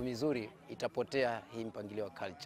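Against light background noise, a man speaks at a middling tempo, his pitch moving by a normal amount. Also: dry sound with no echo. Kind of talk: interview answer. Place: open country. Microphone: lapel.

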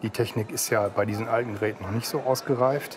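A man keeps a fairly quick pace and fairly even intonation while noticeable background noise runs beneath. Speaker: seller on antiques TV show; dealer or seller on TV show. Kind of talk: casual TV conversation. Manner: halting, many hesitations. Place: studio. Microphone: lapel.

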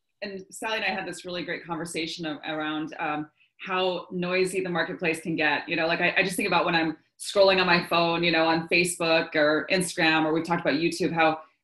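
Over a quiet background, the speech comes very fast with monotone, flat intonation. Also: woman, fairly low pitch for a woman. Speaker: coach hosting a live session. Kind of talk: live webinar talk. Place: home room. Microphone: video call.

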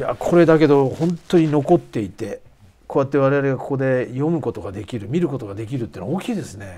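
Very fast and full of big swings in loudness, a man's medium-pitched, dark, mellow voice carries lively intonation. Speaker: show host, nonfiction writer; program host. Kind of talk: interview and on-location report. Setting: outdoors on location, then studio. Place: studio. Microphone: lapel.

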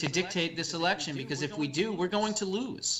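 Noticeable background noise sits behind a man speaking with an American accent. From New Jersey. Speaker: political talk show host; radio guest. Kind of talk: political commentary. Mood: earnest political argument. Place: home room. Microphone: video call.

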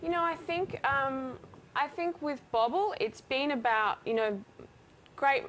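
In an Australian accent, a woman speaks at a high pitch and a fairly slow pace, her voice making very wide pitch swings, with long, frequent pauses. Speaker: company co-founder and creative director. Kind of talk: TV interview. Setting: TV studio.

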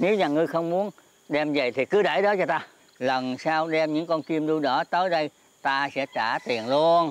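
Stern in tone, a man with a high voice and lively intonation speaks fairly slowly in a dry recording with no echo. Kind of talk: scripted drama dialogue. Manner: elderly man's aged, stern voice. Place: open country.

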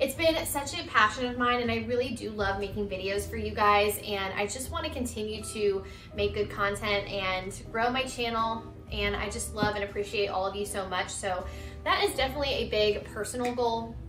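Noticeable background noise sits under a woman speaking at a moderate pace. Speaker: lifestyle vlogger. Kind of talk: casual vlog chat. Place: home room. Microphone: camera far.

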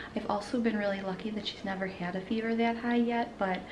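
Through noticeable background noise, a woman talks at a fairly quick pace with fairly even intonation. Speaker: parent vlogger. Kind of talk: casual vlog chat. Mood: worried, relieved storytelling. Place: kitchen. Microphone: phone near.

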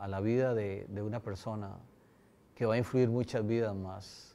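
This man has a dark, mellow tone, talking at a fairly slow pace with fairly even intonation. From Costa Rica (San Ramón), with years in Lebanon; Costa Rica. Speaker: university president. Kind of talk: interview testimony. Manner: halting, with repetitions. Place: hall. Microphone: lapel.

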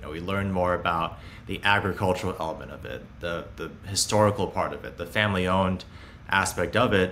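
A man talks at a fairly quick pace in a very deep, low pitch, his intonation fairly even. His loudness swings widely, with light background noise behind him. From Hong Kong and Beijing, China. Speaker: startup founder and CEO. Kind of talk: interview. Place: home room.

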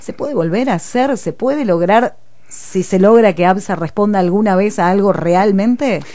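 Speaking at a moderate pace, a woman has a medium pitch with ordinary pitch variation. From Argentina, Buenos Aires province. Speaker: radio host. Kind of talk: radio interview. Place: studio. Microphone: studio mic.

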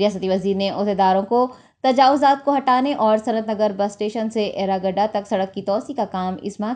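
Against a quiet background, a woman speaks at a moderate pace with ordinary pitch variation. Her medium-pitched voice has a dark, mellow tone. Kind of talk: news bulletin reading. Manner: formal, steady newsreader delivery; Urdu-heavy formal Hindi-Urdu diction.

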